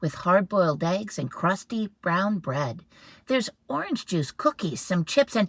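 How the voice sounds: Lively intonation in a natural reading voice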